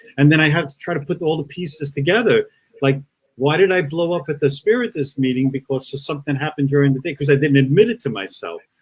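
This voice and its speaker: Somewhat breathy, a man speaks at a very fast pace with a fairly high pitch and ordinary pitch variation. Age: 60s. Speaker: spiritist speaker. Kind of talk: virtual talk with Q&A. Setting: online live broadcast. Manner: halting, many repetitions.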